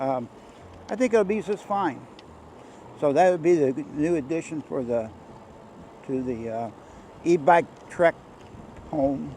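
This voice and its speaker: A man talks with a dark, mellow tone at a fairly high pitch. His speech has long, frequent pauses. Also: lively intonation, fairly slow pace. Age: 70s. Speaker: e-bike vlogger. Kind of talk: casual chat. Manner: rambling casual with fillers.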